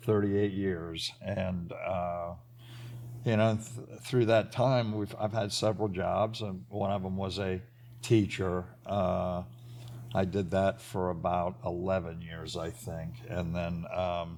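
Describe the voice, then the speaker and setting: With an American accent, a man speaks at a very slow pace. His pitch is very deep and low, with ordinary variation. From Florida. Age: 60s. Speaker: high school football coach. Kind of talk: testimony. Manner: halting.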